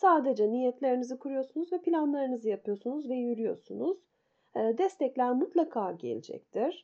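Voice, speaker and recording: Lively intonation and a moderate pace from a woman with a high voice. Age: 50s. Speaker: meditation and personal finance podcaster. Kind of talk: solo podcast talk. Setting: at home.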